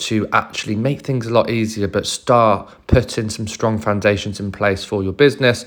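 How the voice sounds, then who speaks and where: The man speaks at a moderate pace and medium pitch. The recording is very clean, with a silent background. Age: 40s. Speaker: business owner and author. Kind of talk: solo monologue to camera.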